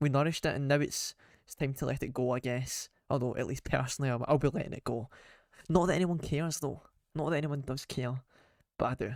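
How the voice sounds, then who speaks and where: A man with a Scottish accent talks very fast in a fairly high voice, with ordinary pitch variation and long, frequent pauses. The recording is very clean, with a silent background. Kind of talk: casual rant to camera. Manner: unscripted, off the cuff.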